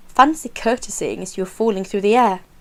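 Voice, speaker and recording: This woman's voice sits fairly high. She keeps a moderate pace. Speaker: audiobook reader. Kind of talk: storybook reading.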